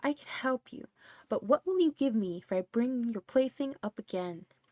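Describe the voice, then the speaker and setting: Using a croaky, put-on character voice, a woman speaks at a high pitch and a moderate pace. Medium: read story. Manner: insistent, coaxing.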